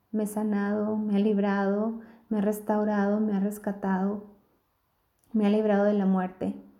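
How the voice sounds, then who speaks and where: A woman speaks at a moderate pace and a medium pitch, in monotone, flat intonation. Her tone is gentle, dark and mellow, with audible room echo. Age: 40s. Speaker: family doctor. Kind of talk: recorded testimony.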